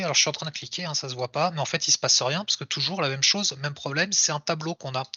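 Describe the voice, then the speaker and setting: Noticeable background noise around a man with a fairly high pitch. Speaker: software developer giving a tech talk. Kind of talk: live coding talk. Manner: fast; casual with hesitations.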